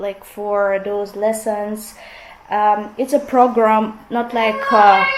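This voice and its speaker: Speaking very slowly in a Russian accent, a woman with a fairly high voice keeps a monotone, flat intonation over noticeable background noise. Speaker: vlogger. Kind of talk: casual vlog chat.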